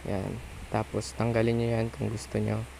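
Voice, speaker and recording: The speaker is a man with a fairly low pitch. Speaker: video editing tutorial creator. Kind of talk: tutorial. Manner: casual, conversational.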